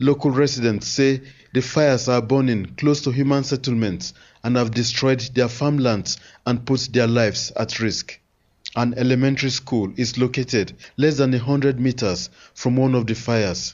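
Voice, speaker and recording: A man with an unremarkable speaking voice talks at a moderate pace and medium pitch, his intonation fairly even and his loudness very even. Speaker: news reporter. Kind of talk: news report. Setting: reporting from Lagos.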